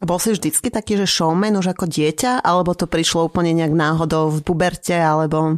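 In a very clean recording with a silent background and a dry, close sound with no echo, a woman with a fairly low pitch and a normal speaking voice talks at a fairly quick pace, with ordinary pitch variation and very even loudness. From Slovakia. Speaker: podcast co-host. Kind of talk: casual interview.

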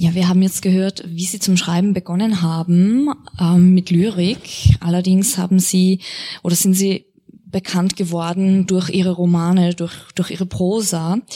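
A woman's medium-pitched voice, an ordinary speaking voice with fairly even intonation. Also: fairly slow pace. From Austria. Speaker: literary translator and interpreter, moderating a reading. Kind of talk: moderated author reading with consecutive interpreting. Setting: event venue with live audience.

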